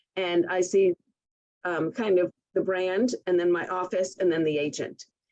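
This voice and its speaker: Recorded with a dry, close sound and no echo, a woman with a plain, everyday voice speaks at a moderate pace, medium in pitch, with an American accent. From Connecticut, US. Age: 60s. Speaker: real estate broker manager. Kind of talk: podcast interview.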